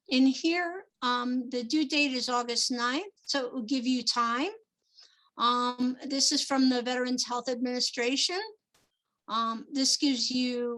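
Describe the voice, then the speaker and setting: A very slow pace and a bright, sharp tone, with a New Jersey accent. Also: woman. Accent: New Jersey (US Northeast). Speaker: small business procurement advisor. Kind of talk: webinar presentation. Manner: many filler ums.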